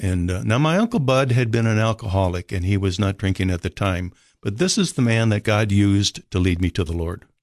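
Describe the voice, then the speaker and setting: In a dry, close sound with no echo, a man with a slight northern US accent speaks at a fairly low pitch with hardly any pauses. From Minnesota, US. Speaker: rescue mission director. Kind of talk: casual interview chat. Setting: radio studio.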